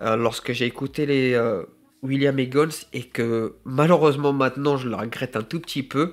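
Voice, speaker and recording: This very clean recording has a silent background. A man speaks at a fairly slow pace with fairly even intonation. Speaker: gardener and self-employed small business owner. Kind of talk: unscripted vlog monologue. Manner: halting, many fillers and self-corrections.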